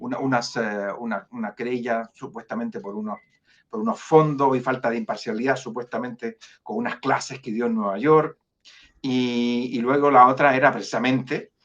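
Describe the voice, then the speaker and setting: The speaker has a Chilean accent and talks at a moderate pace. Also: man, medium pitch for a man, fairly even intonation, big swings in loudness. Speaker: jurist, foundation director. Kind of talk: interview. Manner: halting, many fillers and repetitions.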